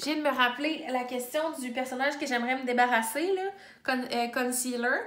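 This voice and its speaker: In a room with audible echo, a woman speaks at a moderate pace in a high pitch with fairly even intonation. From Quebec. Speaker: booktuber; book vlogger. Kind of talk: casual chat. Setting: home office. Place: home room. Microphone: phone near.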